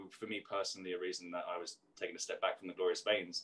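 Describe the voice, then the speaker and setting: A man rushes along at a very fast pace with a quiet background behind him. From South London, England; London. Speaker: singer-songwriter and author; interviewee. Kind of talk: interview. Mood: reflective, candid. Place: kitchen. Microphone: video call.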